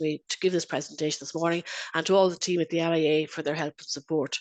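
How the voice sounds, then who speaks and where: Speaking at a very fast pace, a woman with a fairly low pitch keeps a monotone, flat intonation in a dry, close sound with no echo. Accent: Irish. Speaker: internal auditor and lecturer. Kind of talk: webinar presentation. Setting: video call.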